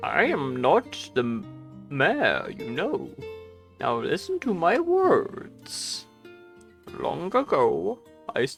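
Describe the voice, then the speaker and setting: Clear music plays in the background as a put-on character voice drags along at a very slow pace. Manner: mock-grave, storyteller tone.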